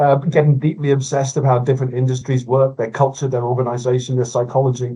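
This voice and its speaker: Somewhat breathy and dark, mellow in tone, a man talks at a fairly quick pace and a medium pitch. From Scotland, Glasgow. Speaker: innovation consultant. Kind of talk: podcast interview.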